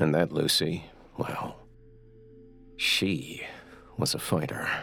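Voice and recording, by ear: A put-on character voice with a bright, sharp tone and vocal fry moves at a slow pace. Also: man, extremely low pitch for a man, fairly even intonation.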